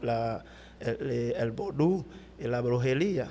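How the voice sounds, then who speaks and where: A man at medium pitch with ordinary pitch variation, a very slow pace and a non-native accent. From Haiti, Cap-Haïtien. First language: Haitian Creole (speaking Spanish). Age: 30s. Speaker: pastor. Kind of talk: testimony interview. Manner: halting, many fillers.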